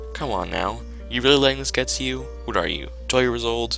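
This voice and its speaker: Music plays in the background as a man talks. His intonation is lively and his pace moderate. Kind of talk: read story. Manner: loud.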